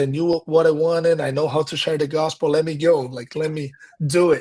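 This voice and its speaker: Against a quiet background, someone speaks with a Portuguese accent. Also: man. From Brazil (countryside). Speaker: pastor and missionary. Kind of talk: casual interview conversation. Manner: halting, with repeated words.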